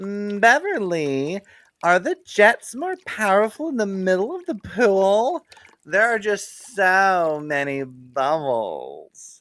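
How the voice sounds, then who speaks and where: Putting on a character voice, a man speaks at a very slow pace and a high pitch, with very wide pitch swings. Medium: read story. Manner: slow, dreamy.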